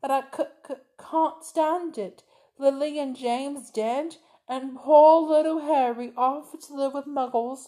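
A woman speaks in a high, put-on character voice. Her pace is fairly slow.

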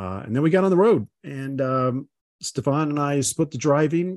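A man with an unremarkable speaking voice talks at a moderate pace with lively intonation. The background is quiet, and the sound is dry and close with no echo. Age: 60s. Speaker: podcast host, gastroenterologist and automotive journalist. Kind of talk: casual chat.

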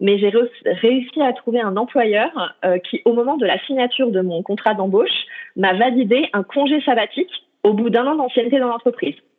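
This woman has a fairly high pitch and lively intonation, and she speaks at a moderate pace. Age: 30s. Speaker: traveller. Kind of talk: interview. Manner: hesitant, many fillers.

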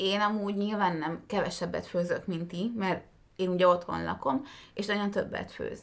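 A woman speaks quietly at a moderate pace. Her pitch is medium and her intonation fairly even. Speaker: podcast co-host. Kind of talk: casual chat.

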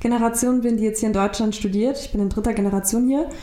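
There is noticeable background noise and audible room echo. Through it, a woman speaks at a fairly high pitch. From Germany, migrant family. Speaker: law graduate. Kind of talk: interview. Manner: halting.

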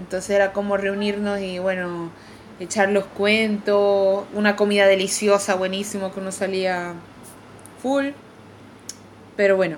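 With a Venezuelan accent, a woman speaks at a fairly slow pace with long, frequent pauses. Her medium-pitched voice is monotone, with flat intonation. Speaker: pastry chef. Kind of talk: casual chat.

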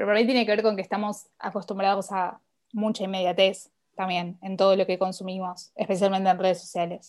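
A woman's flat, monotone voice in a Rioplatense accent. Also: medium pitch for a woman, fairly quick pace. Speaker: podcast guest, literature enthusiast. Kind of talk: casual chat.

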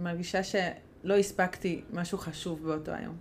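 In a Hungarian accent, a woman speaks at a moderate pace. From Hungary. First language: Hungarian (speaking Hebrew). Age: 30s. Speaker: podcast co-host, mother. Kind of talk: casual chat.

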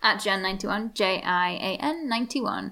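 Speaking with an English accent at a moderate pace, a woman has a fairly high pitch, ordinary pitch variation and a bright, sharp tone, captured in a very clean recording with a silent background. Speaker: podcast co-host, PhD student. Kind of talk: casual chat.

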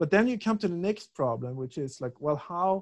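With a Swedish accent, a man talks in a fairly high pitch that makes very wide swings. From Sweden, Stockholm. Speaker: philosophy researcher. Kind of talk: interview. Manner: halting, many repetitions and fillers.

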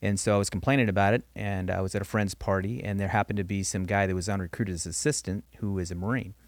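A man's very fast, nearly pauseless speech in an American accent, fairly low in pitch with ordinary pitch variation, on a very clean recording with a silent background. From Southern California (Norwalk). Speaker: retired police lieutenant. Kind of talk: interview, personal testimony.

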